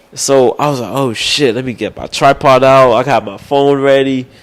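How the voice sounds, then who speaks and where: With an American accent, a man speaks at a medium pitch and with fairly even intonation amid noticeable background noise. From Texas (Austin, Arlington). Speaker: sports media reporter. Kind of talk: casual interview chat.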